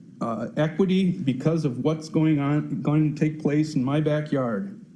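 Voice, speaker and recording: A man with an Upper Midwest accent speaks at a fairly slow pace, with noticeable background noise and audible room echo. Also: ordinary pitch variation. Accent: Upper Midwest American. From Farmington, Minnesota. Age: 60s. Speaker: retired construction worker, resident. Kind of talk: public comment at city council meeting. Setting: city council meeting.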